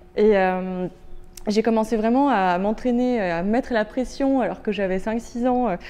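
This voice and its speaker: A woman speaks at a fairly slow pace in a fairly high pitch, her tone dark and mellow. Her pitch varies in an ordinary way. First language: Turkish (speaking French). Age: 30s. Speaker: visually impaired law student and inclusion consultant. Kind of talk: interview testimony. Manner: hesitant, many fillers.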